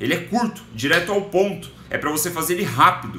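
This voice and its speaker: There is audible room echo. A man is speaking. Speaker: business educator, live streamer. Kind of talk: live stream book summary. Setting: live stream. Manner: casual, conversational with filler words.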